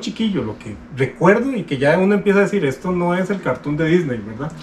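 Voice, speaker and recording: Over noticeable background noise, a man with a high pitch speaks at a fairly quick pace, his pitch swinging very widely. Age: 40s. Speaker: YouTuber, manga collector. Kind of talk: casual chat. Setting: Instagram live stream.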